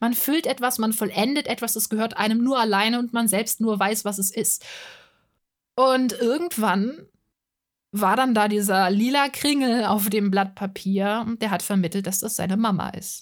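This is a very clean recording with a silent background, where a woman talks in an unremarkable speaking voice. Her pitch is fairly high with ordinary variation, and her pace is moderate. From Hesse, Germany (Offenbach am Main). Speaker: podcaster and art channel creator. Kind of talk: monologue podcast.

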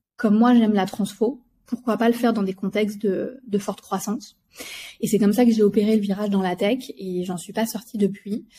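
A woman speaks at a medium pitch with fairly even intonation. Her tone is dark and mellow, and somewhat breathy. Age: 40s. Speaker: company executive. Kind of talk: interview.

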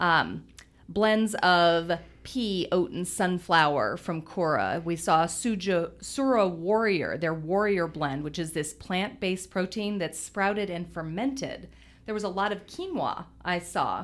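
Over a very clean recording with a silent background, a woman speaks in a normal speaking voice. Her pitch is medium, with ordinary pitch variation and a fairly slow pace. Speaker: podcast host. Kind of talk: casual chat.

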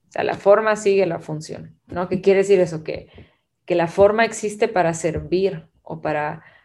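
A woman speaks in a plain, everyday voice at a fairly slow pace, her fairly low pitch held in fairly even intonation. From Guatemala. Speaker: creative director and artist. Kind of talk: casual chat.

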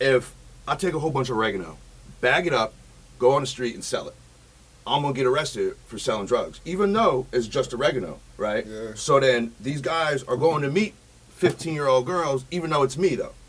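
Somewhat breathy and fairly high for a man, his voice moves at a fairly quick pace with lively intonation. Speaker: online predator-catcher vlogger. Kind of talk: casual chat. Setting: studio.

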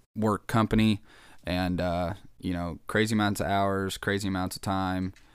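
A man with an American accent talks at a moderate pace in a normal speaking voice, pitched fairly low. The recording is very clean, with a silent background. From Kansas, US Midwest. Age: 20s. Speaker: podcast host. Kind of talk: casual solo chat.

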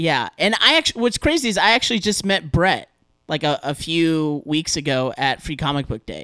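Bright, sharp and animated, a man's fairly high voice moves at a moderate pace with lively intonation on a very clean recording with a silent background. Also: dry, close sound with no echo. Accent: American. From Southern California. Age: 30s. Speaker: podcaster guest. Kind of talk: casual chat.

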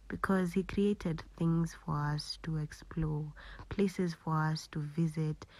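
In a very clean recording with a silent background, a somewhat breathy voice speaks at a fairly slow pace with fairly even intonation. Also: woman. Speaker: podcast host. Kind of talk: casual monologue.

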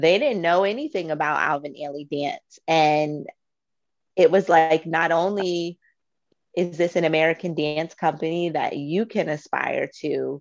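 A woman with an unremarkable speaking voice talks at a fairly slow pace and fairly low pitch. Her intonation stays fairly even against a quiet background. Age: 30s. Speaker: podcast co-host. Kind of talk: casual chat.

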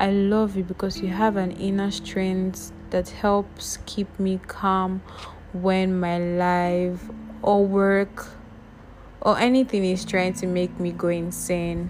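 A woman's warm-toned voice at a very slow pace, with monotone, flat intonation. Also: medium pitch for a woman. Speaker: podcast host. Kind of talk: spoken-word love letter, read aloud. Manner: tender, warm, intimate, dreamy, slow and sincere, repeating 'I love you because'; affectionate, gushing and sweet.

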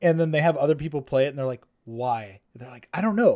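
A man talks in a plain, everyday voice. His intonation is lively and his pace fairly quick. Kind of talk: casual chat.

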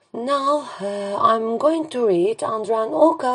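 This woman has a Turkish accent and speaks at a very slow pace with lively intonation. Noticeable background noise is present. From Turkey. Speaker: poet and English teacher. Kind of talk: poetry reading.

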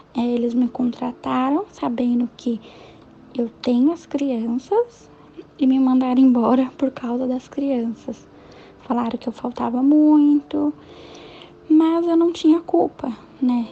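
A woman speaks at a high pitch with ordinary variation and a very slow pace. Long, frequent pauses and noticeable background noise fill the clip. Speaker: self-employed mother. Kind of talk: interview testimony.

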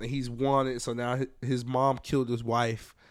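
A man speaks at medium pitch in a monotone, flat intonation. The recording is very clean, with a silent background. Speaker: podcast co-host. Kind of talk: casual banter about sports.

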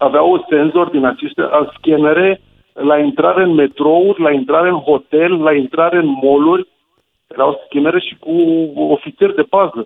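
This man, an ordinary speaking voice, has a fairly high pitch with ordinary pitch variation and keeps to a moderate pace. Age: 40s. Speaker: radio caller. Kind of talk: phone-in anecdote.

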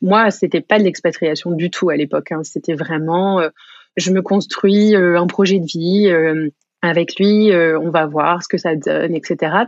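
A woman speaks very slowly, her pitch fairly low for a woman. Her intonation stays fairly even. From France. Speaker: shop owner. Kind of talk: casual interview chat.

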